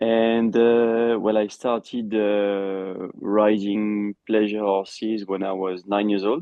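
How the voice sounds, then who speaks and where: A man with a French accent speaks at a very slow pace with hardly any pauses, in a fairly low pitch and monotone, flat intonation. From France. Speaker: endurance rider and trainer. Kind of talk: interview. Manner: halting.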